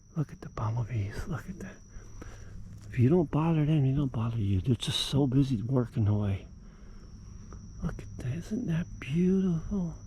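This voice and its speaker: Breathing somewhat audibly, a man speaks at medium pitch with a dark, mellow tone and lively intonation. He keeps a moderate pace but leaves long, frequent pauses. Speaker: gardening vlogger. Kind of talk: walking tour vlog. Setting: outdoors. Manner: animated; hushed.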